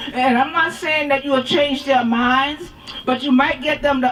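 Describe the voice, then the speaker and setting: A high-pitched woman's voice over noticeable background noise. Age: 70s. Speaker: women's health activist. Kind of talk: rally speech. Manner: emphatic.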